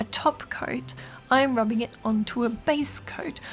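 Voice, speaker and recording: Over music in the background, a woman with an Australian accent speaks at a fairly high pitch with ordinary pitch variation. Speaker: nail art YouTuber. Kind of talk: tutorial. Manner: casual, chatty.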